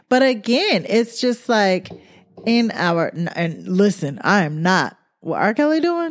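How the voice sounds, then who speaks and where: This woman's medium-pitched voice swings very widely in pitch as she speaks at a fairly slow pace. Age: 40s. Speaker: podcast co-host. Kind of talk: casual chat.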